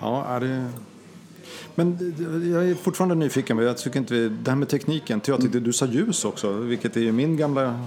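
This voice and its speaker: At a moderate pace, a man speaks at a medium pitch with ordinary pitch variation and very even loudness. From not from Skåne. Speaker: podcast co-host. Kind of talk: casual interview chat.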